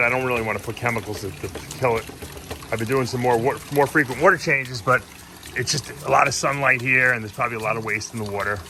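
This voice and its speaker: A man's medium-pitched voice at a very fast pace, amid noticeable background noise. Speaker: aquarium hobbyist vlogger. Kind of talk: casual vlog narration. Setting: outdoors.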